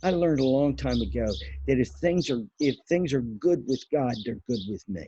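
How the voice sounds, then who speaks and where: A man with a medium pitch and a dark, mellow, somewhat breathy tone speaks at a moderate pace with lively intonation. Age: 60s. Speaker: bible teacher. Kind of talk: devotional teaching. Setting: outdoors on back patio. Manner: halting.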